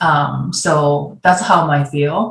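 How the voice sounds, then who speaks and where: A woman talks with ordinary pitch variation. Her voice is somewhat breathy. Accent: Japanese. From Japan. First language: Japanese. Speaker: former ice hockey goaltender and designer. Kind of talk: virtual panel discussion. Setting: video call. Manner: halting.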